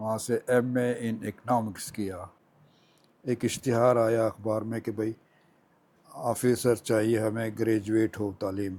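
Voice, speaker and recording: This man has a dark, mellow tone at a medium pitch. His intonation is monotone and flat. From Dera Ghazi Khan, Pakistan. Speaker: retired banker. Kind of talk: oral history interview answer.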